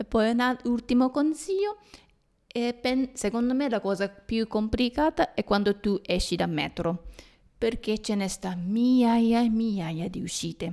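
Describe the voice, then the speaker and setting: With lively intonation and a dark, mellow tone, a woman speaks fairly slowly at a fairly high pitch. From Japan. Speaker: podcast host. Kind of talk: casual chat. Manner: halting.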